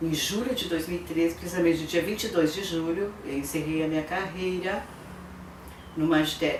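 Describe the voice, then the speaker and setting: A woman with a fairly low pitch speaks in fairly even intonation, with audible room echo. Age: 60s. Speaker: retired history teacher. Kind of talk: interview.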